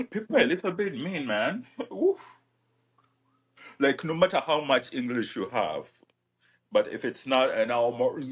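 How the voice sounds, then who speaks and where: In a Ugandan accent, a man speaks at a moderate pace with very wide pitch swings. He leaves long, frequent pauses. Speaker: podcast co-host. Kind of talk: casual chat.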